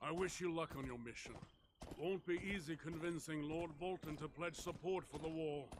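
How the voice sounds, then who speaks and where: A man puts on a gruff character voice at a fairly high pitch. His pace is moderate and his intonation fairly even. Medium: video game. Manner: blunt, gruff.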